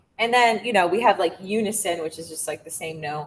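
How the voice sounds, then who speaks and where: A woman's somewhat breathy voice at a medium pitch. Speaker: music teacher. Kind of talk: lecture. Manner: casual, filler-heavy.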